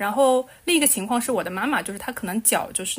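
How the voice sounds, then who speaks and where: A woman at a very fast pace with lively intonation. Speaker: podcast co-host. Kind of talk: casual chat. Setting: remote recording.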